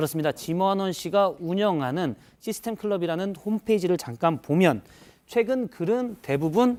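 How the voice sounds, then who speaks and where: A man's voice sits high in pitch. He speaks with lively intonation. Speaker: news reporter. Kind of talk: news briefing segment.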